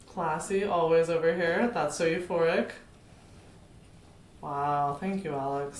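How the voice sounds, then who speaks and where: With audible room echo, a woman with a fairly low pitch speaks at a fairly slow pace, pausing long and often. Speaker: podcast co-host. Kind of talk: casual chat. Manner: animated.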